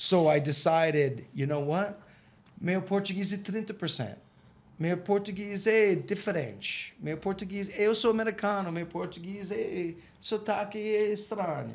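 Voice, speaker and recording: Here is a man with a Boston accent. His voice sits at a high pitch. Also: ordinary pitch variation, moderate pace. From Boston, Massachusetts. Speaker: English teacher. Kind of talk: casual chat. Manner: animated.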